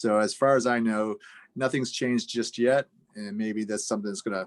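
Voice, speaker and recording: A man's medium-pitched voice at a fairly quick pace, very clean recording with a silent background. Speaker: fair housing officer. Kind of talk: council meeting presentation. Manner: fast.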